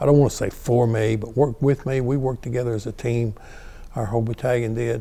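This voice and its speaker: A man's medium-pitched voice, very fast and monotone with flat intonation. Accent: North Carolina. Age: 70s. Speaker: retired fire battalion chief. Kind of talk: oral history interview. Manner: halting, many fillers and repeats.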